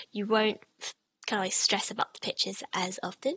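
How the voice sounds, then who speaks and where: The voice has a bright, sharp tone with vocal fry and ordinary pitch variation, recorded with a dry, close sound and no echo. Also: woman. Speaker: language teacher. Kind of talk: tutorial. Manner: hesitant, with fillers.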